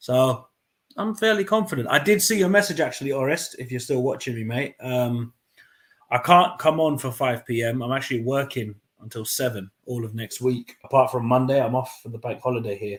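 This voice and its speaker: At a fairly quick pace, a man speaks with a somewhat breathy, medium-pitched voice and lively intonation. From London, England. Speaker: football fan channel host. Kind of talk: live match watchalong commentary. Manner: casual, chatty; animated during play.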